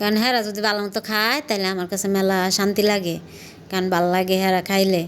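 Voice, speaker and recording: A woman with an ordinary speaking voice holds a medium pitch and fairly even intonation. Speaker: vlogger. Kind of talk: casual vlog narration. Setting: at home.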